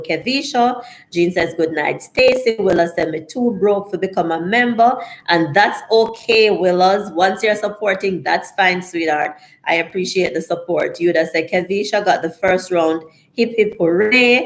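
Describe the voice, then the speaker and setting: Pitch varies in an ordinary way as the speech proceeds at a moderate pace. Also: woman, medium pitch for a woman. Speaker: live streamer reading chat aloud. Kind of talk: casual, friendly.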